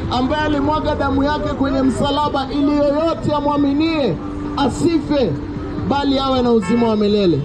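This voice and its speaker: Crowd noise fills the background. A man talks at a moderate pace. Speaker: street preacher. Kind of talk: sermon. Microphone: camera far.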